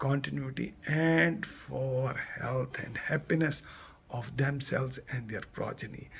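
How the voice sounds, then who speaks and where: A man with a Kashmiri accent and a fairly high pitch, speaking at a very slow pace over noticeable background noise. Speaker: community vlogger. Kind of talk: festival address to viewers. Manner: emotional, repetitive.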